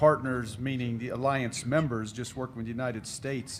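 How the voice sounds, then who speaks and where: A man with an American accent speaks at a fairly quick pace and a medium pitch. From Texas. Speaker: military officer, panelist. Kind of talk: panel discussion.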